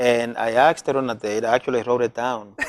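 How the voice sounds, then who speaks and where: A man is speaking. He has a Spanish accent. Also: dry, close sound with no echo. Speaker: community health worker. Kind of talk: casual interview chat.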